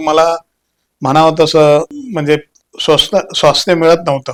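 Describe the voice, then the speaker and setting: A man's fairly high voice, monotone and flat in intonation, with a dry, close sound and no echo. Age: 70s. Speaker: retired soldier and police officer, patient. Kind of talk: testimony.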